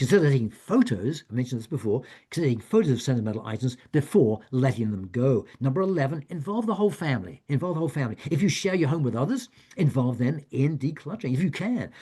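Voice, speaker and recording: A man talks at a very fast pace and fairly high pitch, somewhat breathy with a dark, mellow tone and very wide pitch swings, over a quiet background. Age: 70s. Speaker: author and retired professor giving a wellness talk. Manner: halting.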